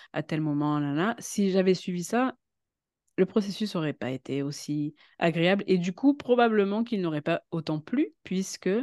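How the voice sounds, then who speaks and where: A woman with lively intonation at a fairly slow pace, in a dry, close sound with no echo. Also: medium pitch for a woman. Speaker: web writer and voice-over actress. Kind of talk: casual chat. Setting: studio. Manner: halting.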